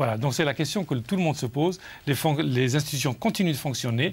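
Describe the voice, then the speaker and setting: A man talks in a somewhat breathy voice. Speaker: journalist. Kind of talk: TV interview. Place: studio. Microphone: lapel.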